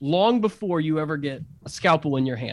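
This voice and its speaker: In a very clean recording with a silent background, a man with an unremarkable speaking voice talks at a fairly quick pace and a fairly high pitch. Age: 30s. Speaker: pastor and innovation strategist. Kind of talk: casual interview chat.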